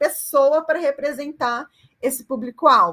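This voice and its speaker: With a bright, sharp tone and lively intonation, a woman speaks at a high pitch. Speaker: university lecturer. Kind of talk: online lecture.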